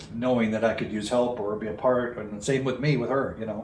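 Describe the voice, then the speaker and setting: Over noticeable background noise and audible room echo, a man speaks in a monotone, flat way at medium pitch and a moderate pace. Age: 70s. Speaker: recovery speaker and retreat leader. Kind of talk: interview. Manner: halting.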